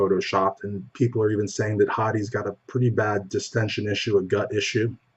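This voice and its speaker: Soft-spoken and somewhat breathy, a man talks at a fairly quick pace, his pitch fairly low and his intonation fairly even. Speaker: bodybuilding news show host. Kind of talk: news commentary.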